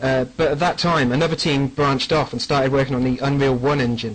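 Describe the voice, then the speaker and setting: With an English accent, a man speaks at a moderate pace in a fairly high, monotone, flat voice. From England. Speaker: game mod developer. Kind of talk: radio interview. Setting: internet radio show.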